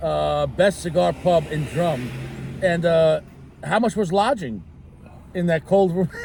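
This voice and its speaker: Fairly slow speech with long, frequent pauses and ordinary pitch variation, over noticeable background noise. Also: man, high pitch for a man. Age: 40s. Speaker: cigar show co-host. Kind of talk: casual chat.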